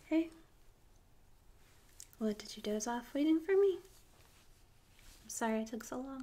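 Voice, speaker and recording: A soft-spoken woman is whispering at a moderate pace. Her loudness swings widely, and she takes long, frequent pauses. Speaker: ASMR artist doing a tattoo consultation roleplay. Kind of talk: ASMR roleplay, tattoo consultant talking to the listener. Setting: binaural microphone, close up. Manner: soft-spoken, close-up, whispering.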